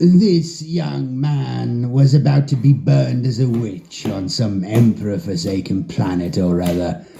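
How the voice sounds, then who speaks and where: A wheezy put-on character voice from a man, medium in pitch with very wide pitch swings, fairly slow and with hardly any pauses. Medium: read story. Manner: measured, lecturing.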